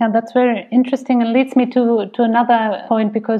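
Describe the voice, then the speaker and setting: With a German accent, a woman speaks at a fairly high pitch. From Germany. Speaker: podcast co-host, director. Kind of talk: interview.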